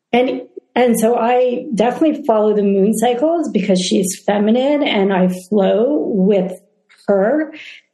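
Speaking at a fairly slow pace, a woman with an unremarkable speaking voice uses lively intonation at a fairly high pitch. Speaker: interviewer, speaker series host. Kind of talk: interview conversation.

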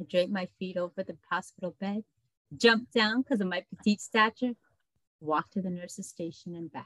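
A woman with an American accent at medium pitch and moderate pace, ordinary pitch variation, dry and close with no echo. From adopted from Colombia as a baby, raised in the US. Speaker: personal accountability coach. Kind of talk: interview, personal testimony.

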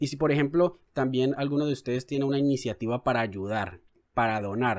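A normal speaking voice from a man at medium pitch, with ordinary pitch variation. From Colombia, Cali. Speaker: journalist and podcast co-host. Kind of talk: casual news discussion.

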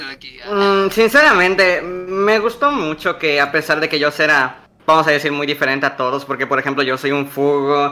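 Moderately paced speech from a man, fairly high in pitch. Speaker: former show member. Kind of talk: casual chat.

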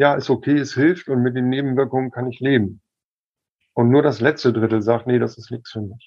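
An ordinary speaking voice with fairly even intonation moves at a moderate pace over a quiet background. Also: man. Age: 50s. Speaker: medical cannabis expert and activist. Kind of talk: casual chat.

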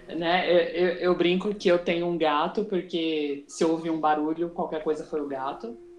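A woman with a fairly low pitch speaks at a moderate pace with fairly even intonation and hardly any pauses, against noticeable background noise. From Brazil. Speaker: podcast host. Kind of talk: casual chat.

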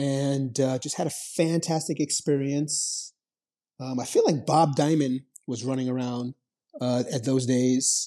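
A man with an American accent, fairly high in pitch yet dark and mellow in tone, at a fairly slow pace with fairly even intonation. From New York City, the Bronx. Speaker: finance education nonprofit founder. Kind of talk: interview.

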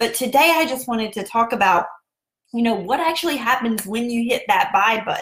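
With a Southern US accent, a woman speaks high-pitched with lively intonation. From US South, South Carolina. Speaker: podcast host and online seller. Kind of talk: casual Facebook Live style talk. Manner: friendly, upbeat, chatty.

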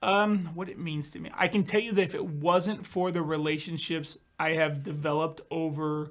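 A man's high-pitched voice at a fairly quick pace with fairly even intonation, on a very clean recording with a silent background. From California. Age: 30s. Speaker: Medicare insurance business owner. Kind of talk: casual chat. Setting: studio.

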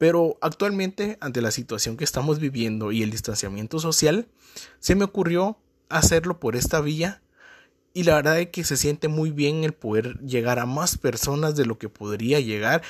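A man talks at a moderate pace with a fairly high pitch. His pitch swings very widely, and the sound is dry and close with no echo. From Guatemala. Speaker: marketer and business coach podcaster. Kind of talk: podcast introduction monologue.

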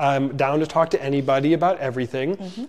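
Speaking at a fairly quick pace, a man with an American accent uses lively intonation. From Lansing, Illinois (Chicago south suburbs). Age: 30s. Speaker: podcast host, business owner, realtor. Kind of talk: podcast interview. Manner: hesitant, many fillers.

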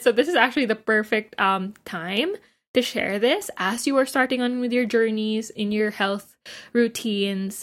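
On a very clean recording with a silent background, a woman uses an ordinary speaking voice at a moderate pace, her pitch fairly high with ordinary pitch variation. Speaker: nutritionist and dietitian. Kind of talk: casual podcast chat.

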